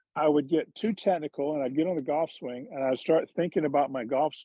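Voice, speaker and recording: Here is a man with an unremarkable speaking voice. He talks at a fairly quick pace with ordinary pitch variation. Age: 60s. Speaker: former pro golfer and golf commentator. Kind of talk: casual chat. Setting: video call.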